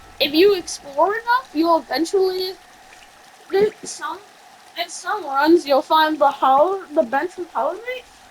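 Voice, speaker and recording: At a fairly slow pace, a woman speaks with an extremely high pitch and ordinary pitch variation against noticeable background noise. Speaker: gaming video creator. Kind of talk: gameplay commentary. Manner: casual, filler-heavy; halting, self-admitted stutter.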